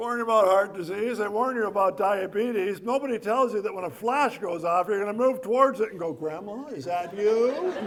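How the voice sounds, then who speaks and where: A high-voiced man talks fairly quickly with ordinary pitch variation while noticeable background noise runs behind him. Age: 70s. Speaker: comedian. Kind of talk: stand-up; casual chat. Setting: stage with audience.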